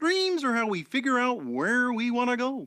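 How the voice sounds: Someone does a put-on character voice at a fairly high pitch and a moderate pace.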